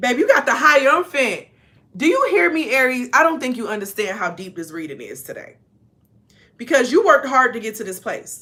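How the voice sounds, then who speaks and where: Her voice high and raised to project, a woman talks at a fairly quick pace in an animated tone, with very wide pitch swings and big swings in loudness. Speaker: tarot reader. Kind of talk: tarot reading, casual.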